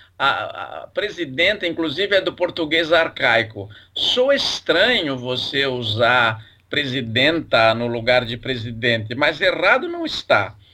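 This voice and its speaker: A bright, sharp tone at a fairly slow pace with lively intonation. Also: man, fairly high pitch for a man. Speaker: language professor. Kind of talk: casual educational chat.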